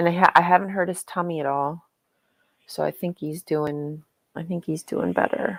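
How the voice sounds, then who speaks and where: With an American accent, a woman speaks at a moderate pace in a fairly low pitch with ordinary pitch variation, in a dry, close sound with no echo. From not US South. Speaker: livestream host reading religious children's book. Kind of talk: casual livestream chat. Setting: live stream. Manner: loud; animated.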